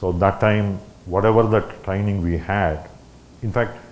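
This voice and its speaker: With audible room echo, a man of fairly low pitch talks at a moderate pace with ordinary pitch variation. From India. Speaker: ham radio operator, guest speaker. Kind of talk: talk at a club meeting. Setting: meeting room with audience. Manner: halting.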